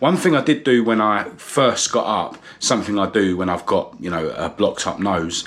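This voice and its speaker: This man has a southern English accent and ordinary pitch variation. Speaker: vlogger. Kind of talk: casual vlog talk to camera. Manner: hesitant, many fillers.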